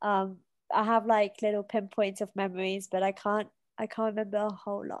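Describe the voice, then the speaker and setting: At a fairly quick pace, a woman speaks at a medium pitch in a monotone, flat intonation. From Mombasa, Kenya, then London. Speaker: travel content creator. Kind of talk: casual interview chat.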